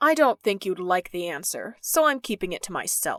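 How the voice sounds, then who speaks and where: A put-on character voice growls at a moderate pace. The recording is very clean, with a silent background. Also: female-sounding voice. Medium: audio drama. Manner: terse, weary.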